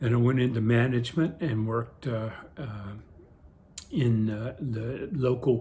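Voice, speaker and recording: The voice is dark, mellow and somewhat breathy, with an American accent. It moves at a fairly slow pace with fairly even intonation. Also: man. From coastal Virginia, US. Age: 70s. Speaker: retired postal worker, senior vlogger. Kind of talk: casual monologue vlog. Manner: spontaneous, hesitant with fillers.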